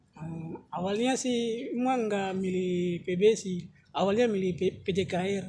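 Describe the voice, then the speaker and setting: With noticeable background noise, a man with a Papuan accent talks at a fairly slow pace in a high pitch. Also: ordinary pitch variation. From Papua, Indonesia. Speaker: university student interviewee. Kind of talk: casual interview.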